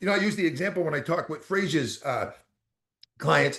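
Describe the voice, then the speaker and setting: The speaker has a Boston accent and an animated tone. The pace is fairly quick. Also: man. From Boston, US. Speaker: motivational speaker. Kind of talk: motivational talk. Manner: fast.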